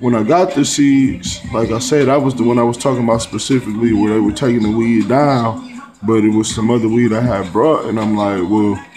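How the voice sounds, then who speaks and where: Over faint background music, a man talks fairly quickly with fairly even intonation. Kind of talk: casual vlog chat. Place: home room. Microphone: phone near.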